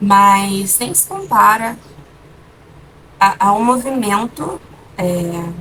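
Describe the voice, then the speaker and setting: A soft-spoken woman talks very slowly at a medium pitch, with ordinary pitch variation and long, frequent pauses. Noticeable background noise runs behind her. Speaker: vlogger. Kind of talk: casual vlog chat. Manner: hesitant, with fillers.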